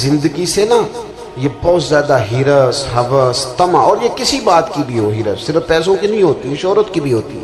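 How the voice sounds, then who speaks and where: Over music in the background, a man talks in a fairly high voice with lively intonation. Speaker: Islamic preacher giving a religious sermon. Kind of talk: religious sermon (bayan).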